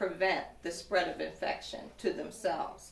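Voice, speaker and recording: Audible room echo colors the woman's voice. She keeps to a moderate speed. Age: 60s. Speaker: woman living with HIV, advocate. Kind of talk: testimony. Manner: formal.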